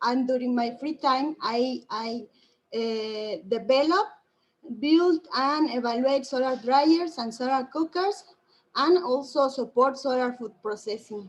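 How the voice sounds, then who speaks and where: With a Spanish accent, a woman speaks at a fairly slow pace in a high pitch with ordinary pitch variation. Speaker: solar engineer presenting at conference. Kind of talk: conference presentation. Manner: halting, many fillers.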